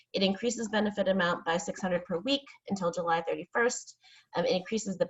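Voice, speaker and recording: The speaker is a woman with a medium pitch. She talks at a fairly quick pace. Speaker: employment attorney. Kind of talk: webinar presentation. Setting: online webinar. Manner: fast.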